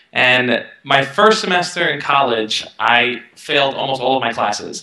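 A man with a New York accent speaks at a medium pitch with ordinary pitch variation. The background is quiet, with audible room echo. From Brooklyn, New York. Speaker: self-help youtuber. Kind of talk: interview. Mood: relaxed, reflective. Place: home room. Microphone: headset.

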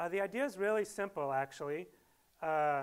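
The pace here is fairly quick. A man speaks in a high pitch for a man. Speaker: speaker. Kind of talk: lecture. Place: hall. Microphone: lapel.

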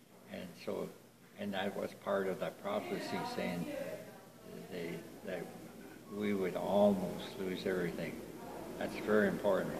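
A man pausing long and often amid loud background noise. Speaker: elder storyteller. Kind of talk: storytelling. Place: hall. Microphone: phone near.

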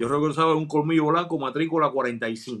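With a quiet background behind him, the man talks in a fairly high voice. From Cuba, Matanzas; Cuba. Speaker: journalist and video creator; interview guest. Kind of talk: interview. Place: home room. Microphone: earbuds.

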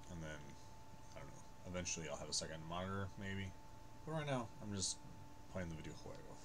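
Delivered very fast with lively intonation, the speech is broken by long, frequent pauses over noticeable background noise. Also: man. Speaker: gaming streamer. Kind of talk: gameplay commentary. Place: home room.

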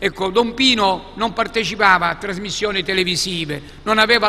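A man projects a raised voice at a high pitch. His pace is moderate and his pitch variation ordinary. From Sicily. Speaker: archbishop. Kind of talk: book presentation talk.

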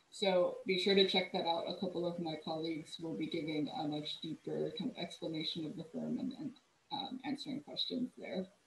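A woman with an American accent at a fairly quick pace, audible room echo and light background noise. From California (Cerritos, LA County); California. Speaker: urban planner; presenter. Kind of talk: presentation. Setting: video call. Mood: warm, reflective. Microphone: video call.

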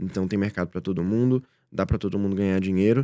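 Over a quiet background, a man with a very deep, low pitch and a dark, mellow tone talks at a very fast pace with fairly even intonation. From Brazil, interior of Minas Gerais (Rio Pardo); Minas Gerais, Brazil. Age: 20s. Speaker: direct response entrepreneur; podcast guest. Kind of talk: interview. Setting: studio. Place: studio. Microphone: studio mic.

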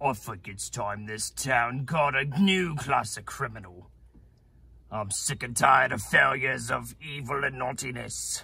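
A man with a raspy, medium-pitched voice speaks at a moderate pace, his loudness swinging widely. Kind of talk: comic overacting. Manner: gloating, taunting, theatrical.

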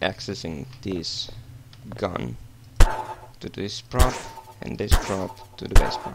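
This man has a non-native accent. He delivers his words fairly slowly. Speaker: game modding tutorial maker. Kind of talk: software tutorial narration.

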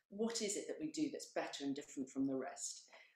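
Talking at a fairly quick pace, a woman is heard with audible room echo over a quiet background. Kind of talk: presentation talk. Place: home room. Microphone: camera far.

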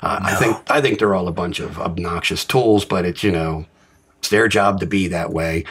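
A man with an American accent, very deep and low in pitch, at a moderate pace with ordinary pitch variation. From Maryland, US. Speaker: recovering addict sharing story. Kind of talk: recovery share, personal testimony.

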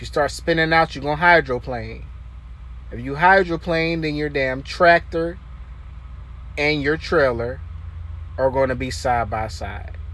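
A man speaks at a fairly slow pace, leaving long, frequent pauses. The sound is dry, with no echo. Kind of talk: casual vlog tutorial. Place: car. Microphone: phone near.

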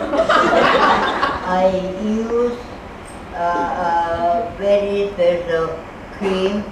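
A woman speaking at a very slow pace, with long, frequent pauses, loud background noise and audible room echo. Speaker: charity worker caring for the needy. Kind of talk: interview answer. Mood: warm, humorous. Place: hall.

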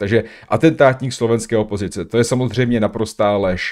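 Intonation is fairly even here. The speaker is a man. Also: quiet background. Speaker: streamer reacting to a video. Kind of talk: commentary. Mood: critical, indignant. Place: home room. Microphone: studio mic.

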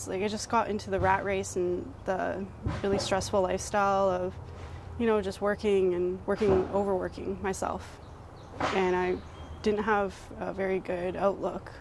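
A woman speaks at a moderate pace. Noticeable noise runs in the background. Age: young. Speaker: tai chi practitioner. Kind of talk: interview answer. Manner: casual, hesitant. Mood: calm, grateful, warm. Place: garden. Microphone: lapel.

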